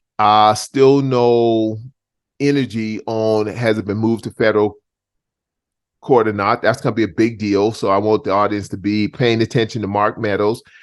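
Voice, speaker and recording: A man with an American accent speaks at a moderate pace, his fairly low voice flat and monotone. The background is quiet. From US South, Charleston, South Carolina. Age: 60s. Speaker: talk show host. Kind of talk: casual interview chat.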